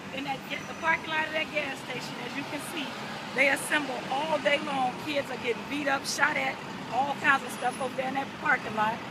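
A woman speaks at a moderate pace. Loud background noise fills the recording. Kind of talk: interview answer. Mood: earnest, passionate. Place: street. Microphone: phone near.

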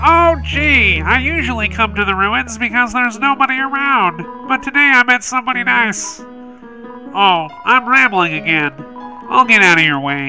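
Over clear music, a man puts on a nasal character voice at an extremely high pitch. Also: moderate pace. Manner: shy, rambling, apologetic.

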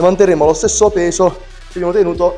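A man talking at a very fast pace over faint background music. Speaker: fitness trainer. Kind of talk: workout tutorial vlog. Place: gym.

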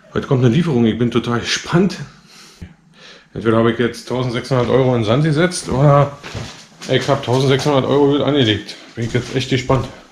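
A man at a fairly quick pace with ordinary pitch variation, audible room echo and light background noise. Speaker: bike shop owner vlogger. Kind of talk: casual vlog chat. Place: home room. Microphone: phone near.

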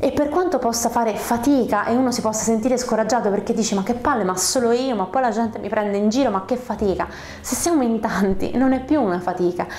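Talking very fast in a fairly high, animated voice with ordinary pitch variation, a woman is heard over light background noise with audible room echo. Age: 30s. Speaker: YouTuber on screenwriting and storytelling; narrative communication vlogger. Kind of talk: vlog monologue. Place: home room. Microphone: lapel.

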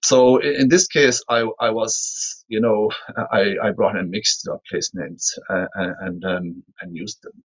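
Against a quiet background, a man with a western Irish accent speaks fairly slowly, his loudness swinging widely. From Ireland, Galway. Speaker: writer. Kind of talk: panel discussion. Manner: halting. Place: office. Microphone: webcam.

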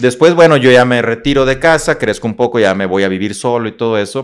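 A man with a northern Mexican accent speaks fairly quickly with ordinary pitch variation against a quiet background. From Mexico, Coahuila (Monclova, Saltillo); Coahuila, Mexico. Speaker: motivational speaker and psychologist; motivational speaker. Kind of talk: interview, life story. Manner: animated. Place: studio. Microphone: studio mic.

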